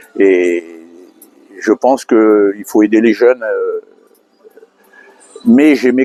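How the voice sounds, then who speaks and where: A man talks at a very slow pace in a dry, close sound with no echo. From Madagascar. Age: 70s. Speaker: industrial weighing technician. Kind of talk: street interview. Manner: hesitant, many fillers.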